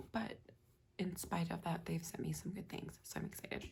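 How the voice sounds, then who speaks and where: The voice is quiet, with a dark, mellow tone and vocal fry. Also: woman. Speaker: fashion unboxing youtuber. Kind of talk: unboxing vlog.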